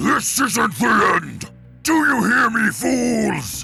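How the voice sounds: Over faint background music, a man does a slow, put-on character voice at an extremely high pitch, bright and sharp in tone, with big pitch swings and vocal fry.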